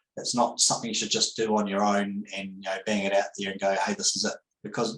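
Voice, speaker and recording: A man with a New Zealand accent talks at a very fast pace. His voice is fairly low, with fairly even intonation. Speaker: accountant. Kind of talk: webinar presentation. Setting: online webinar. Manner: hesitant, many fillers.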